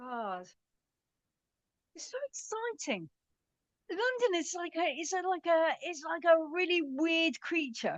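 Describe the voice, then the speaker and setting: A woman with an extremely high pitch speaks at a very slow pace with very wide pitch swings. Long pauses come often. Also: big swings in loudness. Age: 40s. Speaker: comedian. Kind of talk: casual chat.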